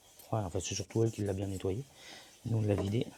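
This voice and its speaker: A soft-spoken man with a fairly low pitch. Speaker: van conversion vlogger. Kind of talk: DIY vlog tutorial. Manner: casual.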